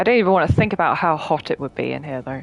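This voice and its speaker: Over noticeable background noise, a woman with an English accent talks with lively intonation at a very deep, low pitch. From England. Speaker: video game streamer. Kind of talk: casual gameplay commentary. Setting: live stream.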